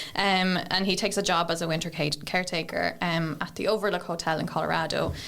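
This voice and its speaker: A woman talks very fast in an Irish accent, at a fairly low pitch. Her intonation is monotone and flat, with vocal fry. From Ireland, County Kildare. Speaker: library apprentice. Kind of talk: book review in casual chat. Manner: hesitant, many fillers.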